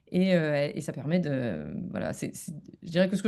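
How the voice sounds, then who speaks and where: A woman's fairly low voice has a dark, mellow tone and ordinary pitch variation. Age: 40s. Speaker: comedian and philosopher. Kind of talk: podcast interview. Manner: hesitant, many fillers.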